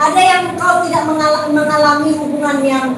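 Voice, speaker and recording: A woman talks at a moderate pace, with noticeable background noise and audible room echo. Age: 60s. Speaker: preacher. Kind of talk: sermon. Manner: conversational, addresses congregation directly.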